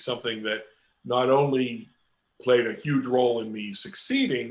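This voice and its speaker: A man's normal speaking voice, medium in pitch, at a fairly slow pace with ordinary pitch variation. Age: 60s. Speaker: comic book illustrator. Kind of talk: interview.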